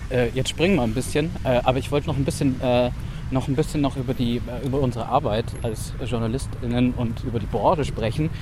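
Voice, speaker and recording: Fairly quick male speech with ordinary pitch variation, audible room echo and noticeable background noise. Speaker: journalist podcast co-host. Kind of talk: casual conversation. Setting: outdoors walking in rain.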